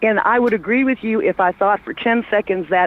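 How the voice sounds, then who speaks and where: Over noticeable background noise, a woman talks at a fairly quick pace and fairly high pitch. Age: 60s. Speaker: caller. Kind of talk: casual chat.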